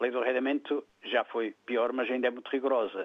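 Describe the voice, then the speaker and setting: A man speaks fairly quickly at a medium pitch. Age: 60s. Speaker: caller. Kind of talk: phone-in opinion. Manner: halting, with repetitions.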